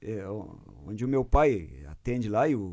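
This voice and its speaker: A man draws out his words at a very slow pace, his intonation lively. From southern Brazil, Rio Grande do Sul frontier (Bagé / Lavras do Sul). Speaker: guitarist. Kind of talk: casual interview. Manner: hesitant, repeats words.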